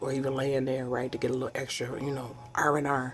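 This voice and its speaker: A woman is whispering at a moderate pace. Noticeable background noise is present. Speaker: home cooking vlogger. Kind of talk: cooking tutorial vlog. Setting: home kitchen. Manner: casual, chatty.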